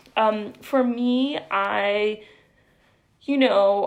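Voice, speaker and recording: A woman speaks with an American accent. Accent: El Paso border American English, Spanglish. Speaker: poet. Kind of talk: live-stream Q&A after poetry reading.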